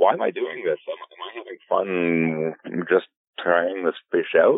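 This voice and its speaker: A man with a Canadian accent. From Alberta, Canada. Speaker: fly fishing filmmaker and guide. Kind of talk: casual interview. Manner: halting, many fillers.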